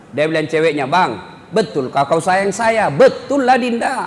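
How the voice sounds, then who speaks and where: Pitch swings very widely throughout. Noticeable background noise sits under the voice. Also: man. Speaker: Islamic preacher. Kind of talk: humorous religious sermon. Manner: blunt, expressive, humorous.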